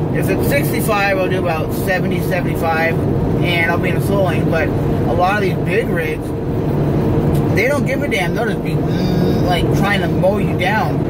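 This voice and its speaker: A man keeps a moderate pace and ordinary pitch variation while loud noise fills the background. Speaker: vlogger. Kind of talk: casual vlog chat. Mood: annoyed rant about truckers. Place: car. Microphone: phone near.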